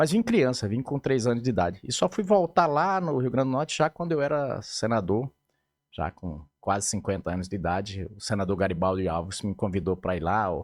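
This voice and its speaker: The recording is very clean with a silent background. A man talks at a fairly quick pace with a fairly low pitch and very wide pitch swings. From Mato Grosso, Brazil. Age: 50s. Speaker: politician. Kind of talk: interview.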